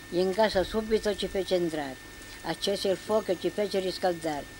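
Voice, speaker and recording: A woman talks at a moderate pace with fairly even intonation and a medium pitch. Noticeable background noise can be heard throughout. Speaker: village poet. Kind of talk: poetry reading. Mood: calm, reflective storytelling. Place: open country. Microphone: old recording.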